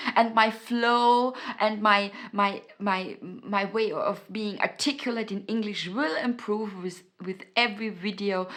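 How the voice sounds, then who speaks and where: With a German accent, a woman talks fairly slowly at a fairly high pitch, her intonation fairly even but her loudness swinging widely. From Austria. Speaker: self-help YouTuber. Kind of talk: motivational talk to camera. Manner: halting, many fillers and repetitions.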